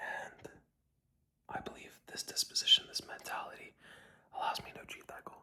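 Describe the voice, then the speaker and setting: The speaker whispers at a moderate pace. Long pauses come often. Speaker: vlogger. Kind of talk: video journal monologue. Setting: at night while on a trip. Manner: soft-spoken.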